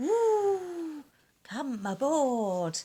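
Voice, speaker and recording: This is a put-on character voice pitched high. It leaps through very wide pitch swings. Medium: read story.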